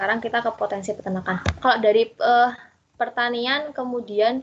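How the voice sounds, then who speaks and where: A woman with an ordinary speaking voice talks in a fairly high pitch with ordinary pitch variation. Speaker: student teacher. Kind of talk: online class lesson. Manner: casual, conversational.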